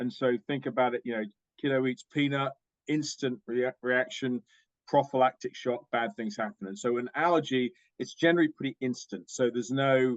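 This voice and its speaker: With a British accent, a man speaks at medium pitch and a moderate pace, with ordinary pitch variation. The sound is dry and close, with no echo. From UK. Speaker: diagnostics company executive. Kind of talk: interview.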